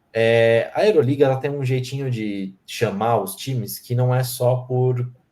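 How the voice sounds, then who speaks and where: A man's medium-pitched voice has a dark, mellow tone and sounds somewhat breathy. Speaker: sports podcast host. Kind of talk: casual podcast chat.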